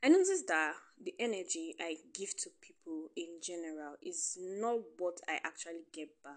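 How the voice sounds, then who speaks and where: With a Nigerian accent, a woman speaks in a fairly low voice with big swings in loudness. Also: ordinary pitch variation, moderate pace. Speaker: podcast host. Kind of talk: personal monologue. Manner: casual, laughing often.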